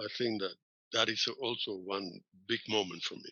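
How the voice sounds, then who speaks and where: With a Spanish accent, a man talks at a moderate pace. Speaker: professor. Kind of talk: interview.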